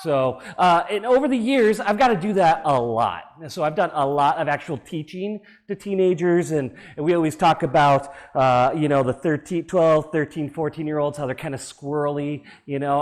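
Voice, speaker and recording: A man with an American accent speaks at a fairly quick pace in a fairly high pitch. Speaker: preacher. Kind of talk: sermon. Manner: loud.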